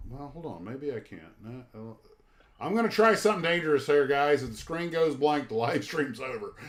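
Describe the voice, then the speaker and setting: Noticeable background noise sits behind a man with an American accent talking at a fairly quick pace in a fairly high pitch. His intonation is lively and his loudness swings widely. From Florida. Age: 60s. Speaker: scale model hobby livestreamer. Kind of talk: casual chat. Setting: livestream with guests. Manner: halting.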